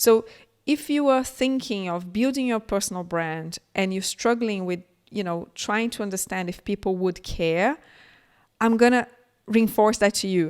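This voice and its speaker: A woman speaks with a Brazilian Portuguese accent at a medium pitch, with ordinary pitch variation and a moderate pace. The recording is very clean, with a silent background. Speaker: tech entrepreneur, keynote speaker. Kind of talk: keynote talk. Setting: conference.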